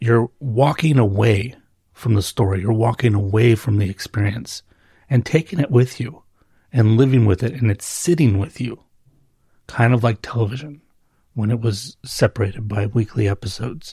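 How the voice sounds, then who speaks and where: At a moderate pace, a man speaks in a medium pitch with a dark, mellow, somewhat breathy tone and ordinary pitch variation. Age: 40s. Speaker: solo book podcaster. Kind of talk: casual solo monologue. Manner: rambling, hesitant with repetitions.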